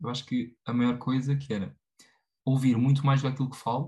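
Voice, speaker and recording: A man speaks with a medium pitch and a dark, mellow, somewhat breathy tone. His intonation is fairly even and his pace moderate. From Portugal, Tomar (central Portugal). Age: 20s. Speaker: former student and personal development enthusiast. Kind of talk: casual chat. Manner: halting, many fillers and repetitions.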